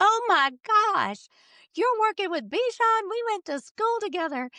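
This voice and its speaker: A squeaky, put-on character voice, female-sounding, with an extremely high pitch at a moderate pace. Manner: excited, enthusiastic.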